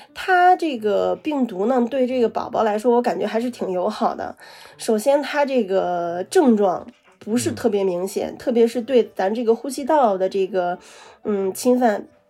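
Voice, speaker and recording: A woman at a moderate pace, lively intonation, noticeable background noise behind her. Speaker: guest recovering from COVID. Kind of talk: casual chat.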